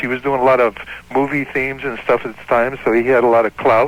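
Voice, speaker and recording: A man at medium pitch amid noticeable background noise. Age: 60s. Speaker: caller, former band guitarist, chef. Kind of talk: casual chat.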